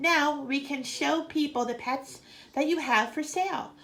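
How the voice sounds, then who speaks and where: A woman uses a put-on character voice at a high pitch and moderate pace. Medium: read story. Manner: calm, brief.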